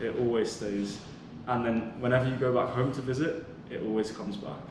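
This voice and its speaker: Speaking at a fairly quick pace with a British accent and ordinary pitch variation, the voice comes through audible room echo and noticeable background noise. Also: man, medium pitch for a man. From England, raised in Abu Dhabi UAE. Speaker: podcast guest. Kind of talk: casual chat.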